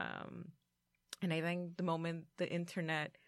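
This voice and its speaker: In a very clean recording with a silent background, a plain, everyday voice speaks at a moderate pace. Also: woman. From Mexican-American, US. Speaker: parent organizer. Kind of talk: roundtable discussion.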